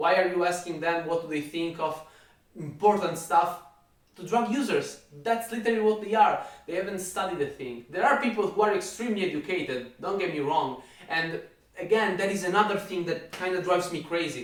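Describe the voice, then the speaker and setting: A man with an Italian accent talks at a fairly quick pace, with high pitch and ordinary pitch variation. Noticeable background noise and audible room echo are present. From Italy. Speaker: fitness YouTuber. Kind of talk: rant.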